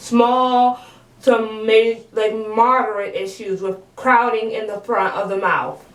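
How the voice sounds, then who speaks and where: A woman's fairly high voice carries audible room echo along with noticeable background noise. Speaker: vlogger. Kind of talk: casual vlog monologue. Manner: casual, many fillers like 'um' and 'like'.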